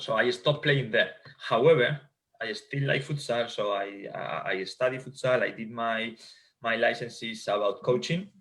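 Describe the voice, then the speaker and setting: A man talks at a moderate pace. He has a Spanish accent. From Spain. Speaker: futsal coach and sports scientist. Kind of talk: interview.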